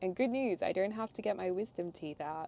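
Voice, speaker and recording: This woman speaks in an Australian accent with a medium pitch. Her tone is dark and mellow, and her intonation is lively. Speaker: lifestyle vlogger. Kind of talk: casual vlog talk to camera.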